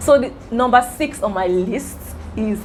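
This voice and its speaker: A woman is heard over noticeable background noise. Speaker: YouTuber. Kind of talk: casual vlog talk. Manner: stammers sometimes.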